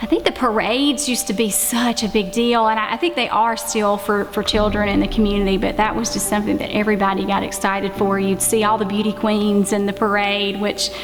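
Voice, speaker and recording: Over music in the background, a woman with a Southern US accent talks at a fairly quick pace with hardly any pauses, medium pitch and fairly even intonation. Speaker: interviewee. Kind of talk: interview testimony.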